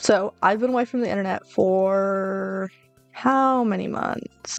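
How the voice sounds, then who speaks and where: A woman at a very slow pace and fairly high pitch, with ordinary pitch variation, a dry, close sound with no echo, and music in the background. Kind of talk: casual talk to camera. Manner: rambling, unscripted.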